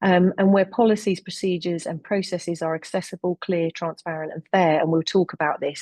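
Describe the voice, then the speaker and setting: The voice has a dark, mellow tone and a London accent, moving at a moderate pace. The sound is dry and close with no echo. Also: woman. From London, England. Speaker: health researcher and webinar chair. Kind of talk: webinar presentation. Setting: online webinar.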